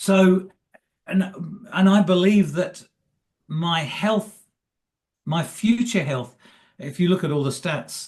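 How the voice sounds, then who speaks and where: A somewhat breathy quality marks this voice. It belongs to a man. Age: 70s. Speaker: retired coach and motivational speaker. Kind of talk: interview. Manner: halting.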